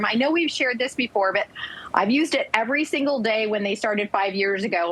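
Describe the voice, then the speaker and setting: A woman with an animated tone at a very fast pace, with noticeable background noise. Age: 60s. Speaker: product spokesperson. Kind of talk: sales pitch.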